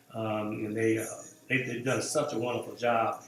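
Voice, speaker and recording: Talking at a fairly quick pace, a man is heard with noticeable background noise and audible room echo. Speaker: pastor. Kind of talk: church announcements to online viewers. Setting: live stream. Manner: halting, many fillers.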